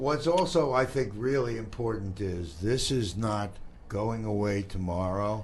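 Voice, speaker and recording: In a room with audible echo, a man speaks fairly slowly at a fairly low pitch, somewhat breathy, with lively intonation. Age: 70s. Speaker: community talk show host. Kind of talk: casual interview chat.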